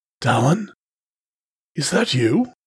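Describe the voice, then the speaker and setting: A man's raspy, put-on character voice with very wide pitch swings. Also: high pitch for a man. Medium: read story. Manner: soft, hypnotic, steady.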